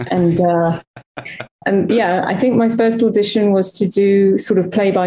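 A woman's ordinary speaking voice at a fairly slow pace, with fairly even intonation. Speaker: actress and former game show host.

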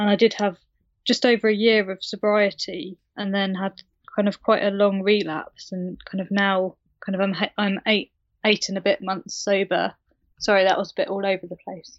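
Speaking at a moderate pace, a woman uses a medium pitch and flat, monotone intonation. She has a British accent. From UK. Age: 30s. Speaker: recovery guest sharing her story. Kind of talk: interview, personal story.

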